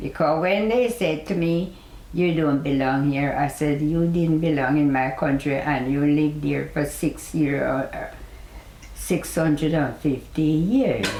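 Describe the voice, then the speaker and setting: A woman speaks with a Jamaican accent at a very deep, low pitch and a fairly slow pace. Her loudness stays very even, her pitch varies in an ordinary way, and there is noticeable background noise. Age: 80s+. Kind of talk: interview answer.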